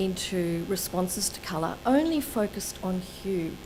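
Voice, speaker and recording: Noticeable background noise fills the recording, and room echo is audible. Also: woman. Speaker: colour researcher and presenter. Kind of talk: lecture. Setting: seminar with live audience.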